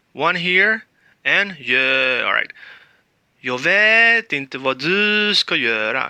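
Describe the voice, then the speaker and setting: Against a quiet background, a man with a bright, sharp tone and lively intonation comes through in a dry, close sound with no echo. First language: Spanish. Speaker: language teacher. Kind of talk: tutorial.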